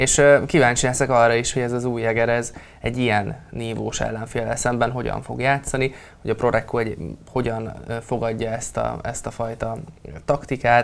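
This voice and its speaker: Flat and monotone, a man speaks at a moderate pace. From Hungary. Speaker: sports commentator. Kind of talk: casual sports discussion. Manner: repetitive, halting. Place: studio. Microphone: lapel.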